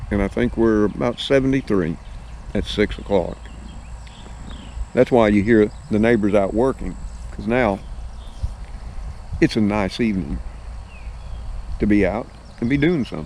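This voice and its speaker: Here a man speaks at a moderate pace with an Alabama accent. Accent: Southern US (Alabama). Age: 60s. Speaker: YouTube vlogger. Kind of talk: casual vlog talk to viewers. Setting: outdoors on his property in the evening.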